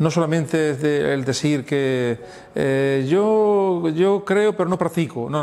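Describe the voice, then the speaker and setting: Here a man speaks at a very slow pace and a fairly high pitch. His intonation is lively. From Andalusia, Spain (Andújar, Jaén). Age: 60s. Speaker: pastor. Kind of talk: testimony interview. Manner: halting, many fillers and repetitions.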